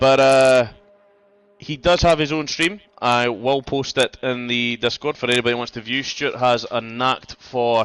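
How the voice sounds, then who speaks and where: This man has a Scottish accent. His intonation stays fairly even. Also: medium pitch for a man, moderate pace. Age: 40s. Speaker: sim racing league commentator. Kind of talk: live commentary.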